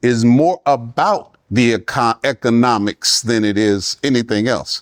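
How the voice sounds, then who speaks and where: At a fairly slow pace, a man speaks at medium pitch with lively intonation. The sound is dry and close, with no echo. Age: 60s. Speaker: pastor and church finance administrator. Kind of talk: workshop talk. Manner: animated, preacherly with audience call-and-response.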